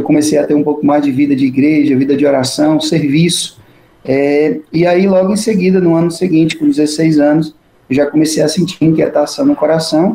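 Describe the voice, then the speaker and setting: Here is a man with a plain, everyday voice, fairly high in pitch and moderate in pace. His intonation is fairly even and his loudness very even. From Brazil, interior of Ceará. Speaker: Capuchin friar and priest, author. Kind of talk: interview.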